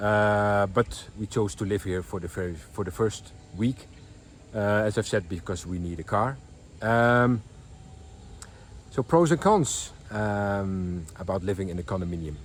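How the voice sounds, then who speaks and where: A man with a Dutch accent and a fairly low pitch, with long, frequent pauses. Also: ordinary pitch variation, fairly slow pace. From Netherlands. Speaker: vlogger. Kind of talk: casual vlog. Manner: halting, many fillers.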